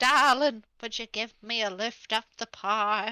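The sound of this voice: A put-on character voice at a fairly high pitch.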